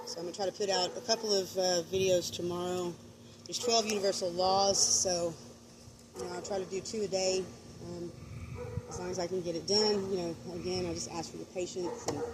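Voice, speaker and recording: Over noticeable background noise, a woman speaks fairly quickly at a medium pitch. Her intonation is fairly even, and she takes long, frequent pauses. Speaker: spiritual vlogger. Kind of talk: casual livestream monologue. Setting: outdoors at night. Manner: rambling with many fillers.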